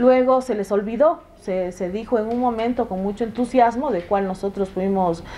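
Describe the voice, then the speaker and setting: Against noticeable background noise, a woman with fairly high pitch speaks at a moderate pace, with ordinary pitch variation and hardly any pauses. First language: Shuar (speaking Spanish). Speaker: legislator. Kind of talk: TV interview. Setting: TV studio. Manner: halting, with fillers.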